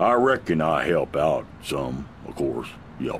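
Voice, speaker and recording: A man's drawling, put-on character voice at a fairly slow pace, over clear background noise. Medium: video game. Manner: drawling, repetitive, folksy.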